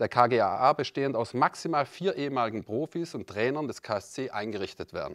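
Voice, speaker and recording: Lively in intonation and moderate in pace, a man speaks over a quiet background. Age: 50s. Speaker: club vice-president candidate, company director; candidate. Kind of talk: prepared campaign speech. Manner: formal. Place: meeting room. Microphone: handheld.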